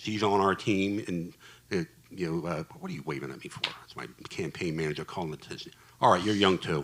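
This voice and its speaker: With noticeable background noise behind him, a man speaks fairly quickly in a very deep, low voice, with ordinary pitch variation and big swings in loudness. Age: 60s. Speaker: congressional candidate. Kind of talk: panel discussion.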